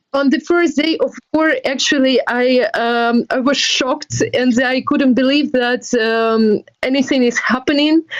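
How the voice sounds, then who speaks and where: In a Ukrainian accent, a woman with a high pitch speaks at a fairly slow pace, her intonation fairly even and her loudness very even. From Ukraine. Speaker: NGO volunteer. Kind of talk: interview.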